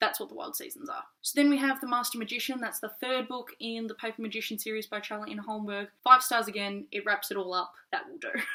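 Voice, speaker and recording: A woman with a fairly high pitch races along at a very fast pace with hardly any pauses, ordinary pitch variation and big swings in loudness. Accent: Australian. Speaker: book reviewer. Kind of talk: casual vlog review.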